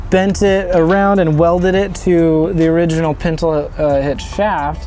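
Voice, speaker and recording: Amid noticeable background noise and audible room echo, a man talks in a fairly high voice with fairly even intonation. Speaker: DIY builder and welder. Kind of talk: casual walkaround tour.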